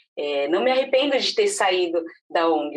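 A woman talks in a normal speaking voice at a medium pitch. Her intonation is lively and her pace fairly slow. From Brazil, São Paulo. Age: 30s. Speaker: marketing agency director and mother. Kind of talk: casual interview.

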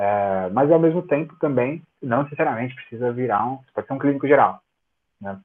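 At a moderate pace, a man talks in a plain, everyday voice with a medium pitch and ordinary pitch variation. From Brazil, São Paulo. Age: 30s. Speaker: cryptography researcher and tech professor. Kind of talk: casual interview.

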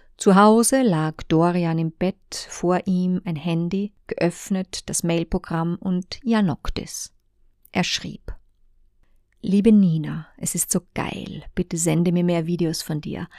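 Very slow, calm speech with fairly even intonation, on a very clean recording with a silent background and a dry, close sound with no echo. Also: woman, fairly low pitch for a woman. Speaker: audiobook author and narrator. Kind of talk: literary audiobook reading, narrating a story in third person. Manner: calm, measured, storytelling cadence with expressive pacing.

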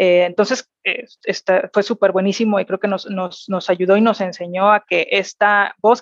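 Her pitch is medium and her intonation monotone and flat as this woman talks at a moderate pace. The sound is dry and close, with no echo. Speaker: corporate executive. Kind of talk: interview. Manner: hesitant, many fillers and repetitions.

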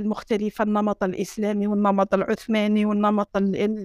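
In a very clean recording with a silent background, a woman speaks at a fairly high pitch. Her intonation is monotone and flat, her pace moderate. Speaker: architecture professor and heritage researcher. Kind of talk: casual interview conversation. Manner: code-switching between Arabic, French and English.

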